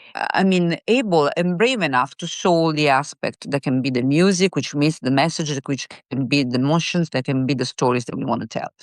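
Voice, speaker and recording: A woman with an Italian accent, very deep and low in pitch, with ordinary pitch variation, a fairly quick pace and hardly any pauses, in a dry, close sound with no echo over a quiet background. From Italy. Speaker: singer-songwriter. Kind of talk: interview. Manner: halting, with many fillers and repeats.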